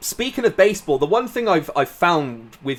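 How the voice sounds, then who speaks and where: With a southern English accent, a man talks at a fairly quick pace in a high pitch, his voice making very wide pitch swings. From southern England. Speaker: podcast host. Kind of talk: casual chat.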